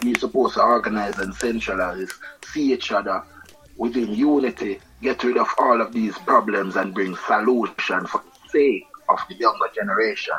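A man keeps a moderate pace while noticeable background noise carries on. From Jamaica, East Kingston. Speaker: reggae musician. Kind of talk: interview. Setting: studio.

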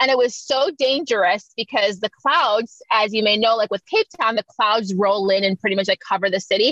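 Speaking with a Florida accent at a moderate pace, this voice has hardly any pauses, very even loudness, ordinary pitch variation and a dry, close sound with no echo. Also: woman, fairly high pitch for a woman. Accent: American, Florida. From Miami, Florida (born in Jamaica, moved at seven). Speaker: fashion model and modeling coach. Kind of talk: casual interview.

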